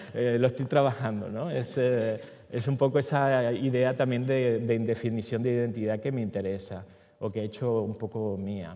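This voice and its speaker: At a moderate pace, a man speaks with fairly even intonation and a dark, mellow tone. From Venezuela. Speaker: filmmaker; panelist. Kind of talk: conference talk. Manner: halting, many fillers. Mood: reflective, relaxed. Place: hall. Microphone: headset.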